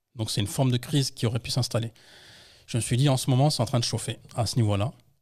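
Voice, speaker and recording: A man speaks with fairly even intonation and a somewhat breathy voice. The background is quiet. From France, Paris region (Yvelines, 78); Paris region, France. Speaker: textile entrepreneur and anthropologist; podcast guest. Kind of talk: interview storytelling. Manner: hesitant, many fillers. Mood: personal, reflective storytelling. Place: studio. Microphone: studio mic.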